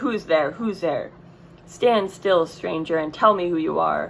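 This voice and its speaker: A woman growls in a put-on character voice at a fairly low pitch and fairly slow pace, with clear background noise. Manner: menacing, demanding.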